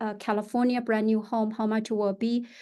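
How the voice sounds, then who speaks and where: A woman speaks at a fairly high pitch with a dark, mellow tone. The background is quiet. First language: Chinese. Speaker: real estate agent. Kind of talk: podcast interview. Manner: halting, many fillers.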